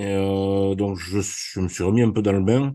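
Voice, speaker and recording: With a fairly low pitch and a dark, mellow tone, a man speaks at a very slow pace. The background is quiet. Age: 60s. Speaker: amateur trader. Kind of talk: webinar self-introduction. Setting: online webinar.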